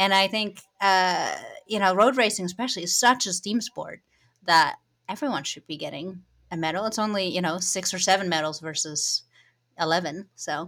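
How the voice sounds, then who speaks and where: A woman with a Dutch accent, medium pitch and ordinary pitch variation at a moderate pace, on a very clean recording with a silent background. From Netherlands. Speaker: cycling journalist. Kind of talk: casual interview. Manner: uses many fillers.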